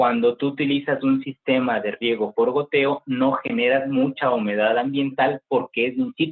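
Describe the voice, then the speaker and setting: A man with a plain, everyday voice, fairly even intonation, a moderate pace and hardly any pauses. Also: medium pitch for a man. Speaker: agricultural industry professional, guest speaker. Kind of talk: guest talk to university class, Q&A.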